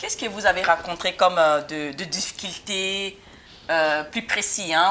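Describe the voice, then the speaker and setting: The woman's voice sits fairly low and has a bright, sharp tone. Her intonation stays fairly even. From German-speaking Switzerland. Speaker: talk show host. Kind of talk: interview.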